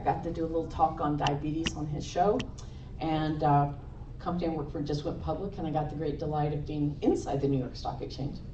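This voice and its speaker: Over noticeable background noise and audible room echo, a woman talks at a fairly quick pace in a fairly low pitch. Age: 60s. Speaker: nurse and conference speaker. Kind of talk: conference talk. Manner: animated.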